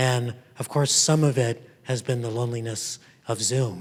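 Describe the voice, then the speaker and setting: A somewhat breathy male voice of medium pitch with ordinary pitch variation. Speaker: professor. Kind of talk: keynote talk. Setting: stage with audience.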